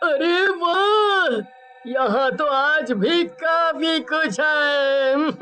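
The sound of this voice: In a cartoonish character voice, a man speaks at an extremely high pitch and a very slow pace. Clear background noise runs underneath.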